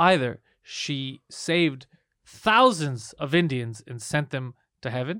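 Speaking at a very slow pace, a man with a fairly high pitch and a bright, sharp tone swings widely in loudness. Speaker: podcast host; comedian. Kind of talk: casual chat.

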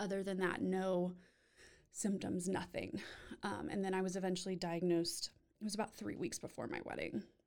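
Speaking with an American accent, a woman with an unremarkable speaking voice talks at a fairly quick pace, medium pitch, and fairly even intonation. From Texas, Austin. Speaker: therapist and cancer survivor. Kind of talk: interview.

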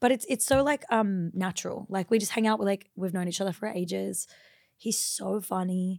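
With an Australian accent, a woman speaks at a moderate pace in a medium pitch with ordinary pitch variation, on a very clean recording with a silent background. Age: 20s. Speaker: former midwife, social media creator. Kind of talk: casual chat.

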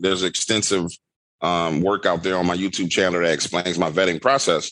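Against a quiet background, a man with a New Orleans accent talks at a fairly quick pace in a very deep, low pitch. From New Orleans, Louisiana. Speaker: horror storyteller and YouTuber. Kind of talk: casual chat with storytelling. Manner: animated.

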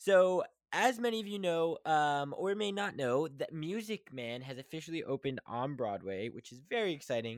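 Over a very clean recording with a silent background, a man with an American accent speaks at a moderate pace with hardly any pauses, his fairly high voice making very wide pitch swings and big swings in loudness. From West Virginia. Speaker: podcast host. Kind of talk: casual monologue. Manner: halting.

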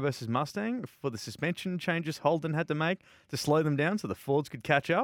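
A man with an Australian accent, energetic in tone, fairly high in pitch and fairly quick, in a very clean, dry, close recording with no echo and a silent background. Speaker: motorsport podcast host. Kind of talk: casual radio-style patter. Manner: chatty, jokey, energetic.

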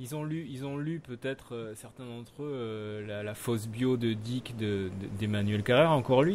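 A man talks at a moderate pace with hardly any pauses, his pitch medium and its variation ordinary. His loudness swings widely. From France, Limousin. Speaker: podcast host. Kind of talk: casual chat. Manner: halting.

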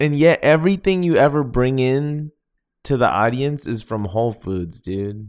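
A man speaks at a medium pitch with lively intonation. The recording is very clean, with a silent background. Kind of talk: casual chat. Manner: slow talker.

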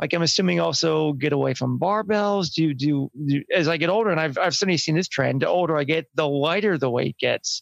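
A man's fairly high voice at a fairly quick pace with hardly any pauses, ordinary pitch variation and very even loudness, in a dry, close sound with no echo. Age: 40s. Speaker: angler asking fitness questions. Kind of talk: casual chat. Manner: halting.

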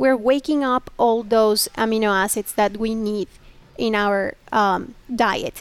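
Speaking at a very slow pace, a woman keeps her fairly high-pitched voice in a fairly even intonation. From Mexico. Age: 30s. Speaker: chef. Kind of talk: interview.

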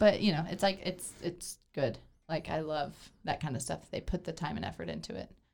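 A woman's very deep, low-pitched voice with vocal fry and lively intonation at a fairly quick pace. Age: 30s. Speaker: candy shop host.

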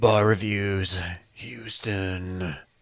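This man does a put-on character voice with a fairly low pitch. His intonation stays fairly even. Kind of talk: promo. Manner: hyped, slick.

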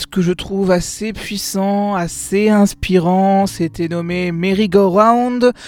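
Speaking at a very slow pace with fairly even intonation, a high-pitched man comes through in a very clean recording with a silent background. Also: hardly any pauses. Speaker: music podcast host. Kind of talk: radio-style music podcast presenting. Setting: new home studio.

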